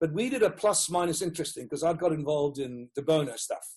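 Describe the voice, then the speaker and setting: This man has a Rhodesian accent and a fairly high pitch. His intonation shows ordinary pitch variation. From Rhodesia (Zimbabwe), Dutch-born. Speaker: educational consultant and author. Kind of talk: interview.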